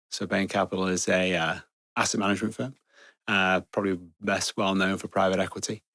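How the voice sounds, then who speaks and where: A man with an English accent and a very deep, low pitch has a bright, sharp tone in a very clean recording with a silent background and a dry, close sound with no echo. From northwest England (Chester). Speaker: security executive. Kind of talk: interview conversation. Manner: hesitant, many fillers.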